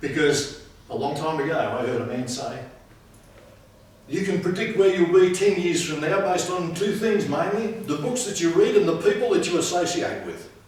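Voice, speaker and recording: A man with a high voice speaks at a moderate pace with ordinary pitch variation, heard with audible room echo and noticeable background noise. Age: 60s. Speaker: public speaking club member. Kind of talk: speech.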